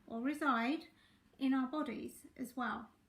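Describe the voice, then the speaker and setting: Her voice is high-pitched for a woman. The intonation stays fairly even. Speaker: relationship and life coach. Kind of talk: live stream talk. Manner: chatty, greets viewers.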